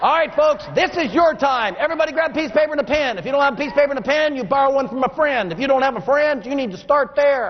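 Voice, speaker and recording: A man speaks at a very fast pace with hardly any pauses, his pitch extremely high for a man. He has an American accent, and noticeable background noise runs underneath. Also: ordinary pitch variation. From Texas. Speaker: motivational speaker. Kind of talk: keynote speech. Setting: stage with audience.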